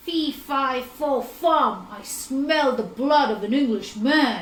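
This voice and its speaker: A woman bellows in a put-on character voice at a high pitch. Her pace is very slow. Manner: bellowing.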